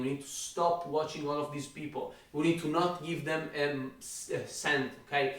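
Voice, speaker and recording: In an Italian accent, a man with a fairly high pitch speaks at a moderate pace in a monotone, flat intonation, with audible room echo and noticeable background noise. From Italy. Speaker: fitness YouTuber. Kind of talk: rant.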